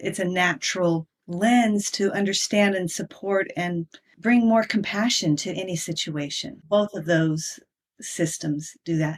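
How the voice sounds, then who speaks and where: A woman talks at a fairly slow pace in a medium pitch with ordinary pitch variation, an unremarkable speaking voice. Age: 60s. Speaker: human design coach and author. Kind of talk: interview.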